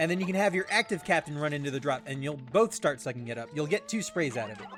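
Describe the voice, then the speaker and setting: Noticeable background noise fills the space as a man speaks in a fairly high pitch. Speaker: video game streamer. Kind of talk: live gameplay commentary. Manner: halting with frequent fillers.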